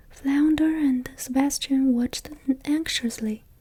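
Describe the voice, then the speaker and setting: A soft-spoken woman whispering at a very slow pace over noticeable background noise. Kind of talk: bedtime story reading, ASMR. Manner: soft-spoken, whispered.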